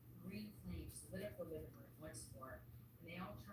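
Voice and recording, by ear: Someone is reading aloud in a natural voice.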